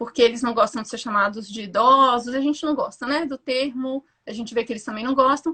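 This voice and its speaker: The speaker talks at a fairly quick pace with hardly any pauses, big swings in loudness and fairly even intonation. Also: woman, high pitch for a woman. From Brasília. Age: 30s. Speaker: psychologist. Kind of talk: interview. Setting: video call.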